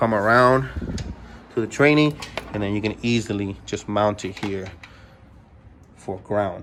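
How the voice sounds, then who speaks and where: Noticeable background noise sits behind a man speaking at fairly low pitch. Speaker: car parts seller and video maker. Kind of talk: tutorial. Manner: fast; casual, with many fillers.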